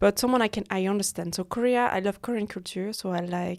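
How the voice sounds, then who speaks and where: Over a silent background on a very clean recording, a woman with a French accent speaks at a medium pitch with fairly even intonation. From French-speaking Switzerland. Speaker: freelance model. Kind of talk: casual chat. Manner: halting.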